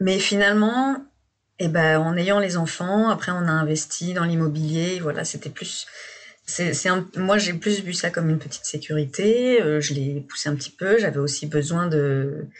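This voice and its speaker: A fairly slow pace from a woman with a fairly low pitch. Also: ordinary pitch variation. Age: 30s. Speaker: guest sharing couple difficulties. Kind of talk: personal testimony. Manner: halting.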